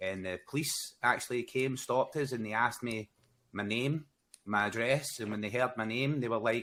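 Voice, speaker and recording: Speaking with a Glasgow accent, a man keeps a moderate pace, medium pitch and fairly even intonation. The recording is very clean, with a silent background. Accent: Scottish (Glaswegian). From Scotland, Glasgow. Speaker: gaming content creator. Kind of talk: casual chat.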